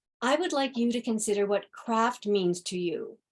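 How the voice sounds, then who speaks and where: With a Canadian accent, a woman speaks at a moderate pace with lively intonation and a fairly high pitch. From Canada, Ontario (Ottawa). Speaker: craft historian. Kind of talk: public talk.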